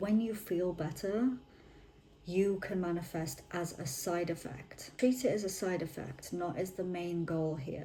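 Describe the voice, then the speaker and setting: A woman with a British accent speaks fairly slowly at a fairly low pitch, her pitch varying in an ordinary way. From United Kingdom. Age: 20s. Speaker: manifestation content creator. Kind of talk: casual talk to camera. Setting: home, ambient freezer noise.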